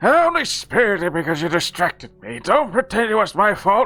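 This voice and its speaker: A put-on character voice at a fairly quick pace. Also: man, high pitch for a man. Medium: game stream. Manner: defensive, grumpy.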